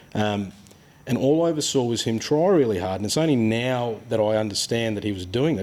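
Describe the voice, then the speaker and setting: Rather quickly, this voice speaks with an Australian accent. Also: man. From Australia, childhood partly in Ghana and Papua New Guinea. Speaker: boat builder. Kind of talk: casual chat. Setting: boat workshop. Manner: animated.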